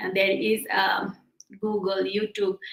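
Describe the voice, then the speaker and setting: The pace here is very slow. It's a woman, with a non-native accent. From Bhutan. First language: not English. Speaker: digital entrepreneur. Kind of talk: interview. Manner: halting.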